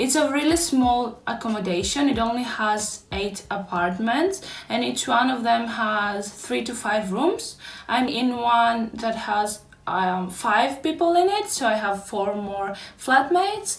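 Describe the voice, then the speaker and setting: With a Greek accent, a woman at a fairly high pitch speaks with lively intonation amid audible room echo. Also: fairly slow pace. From Greece. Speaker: YouTuber, postgraduate student. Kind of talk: room tour vlog.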